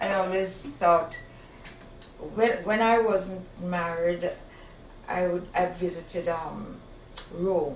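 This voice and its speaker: A woman with a Jamaican accent at a very slow pace, with long, frequent pauses and ordinary pitch variation, amid noticeable background noise and audible room echo. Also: medium pitch for a woman. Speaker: talk show panelist. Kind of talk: casual chat.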